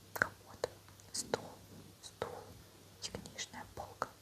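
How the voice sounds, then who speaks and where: A woman whispers over noticeable background noise. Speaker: ASMR creator. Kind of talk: audiobook reading. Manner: whispered.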